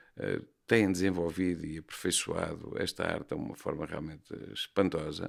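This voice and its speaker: A man with a very deep, low pitch is heard on a very clean recording over a silent background. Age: 60s. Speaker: bullfighting horseman and horse trainer. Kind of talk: podcast interview. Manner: hesitant, with fillers and repetitions.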